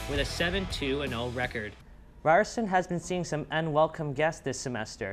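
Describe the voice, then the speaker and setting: With vocal fry, a man talks at a fairly quick pace. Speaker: broadcast reporter. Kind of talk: broadcast news and sports reporting.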